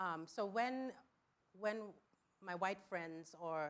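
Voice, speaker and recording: This woman speaks with an African accent. Her pitch is medium and varies in an ordinary way. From West Africa. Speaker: educator. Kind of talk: panel discussion. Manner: halting.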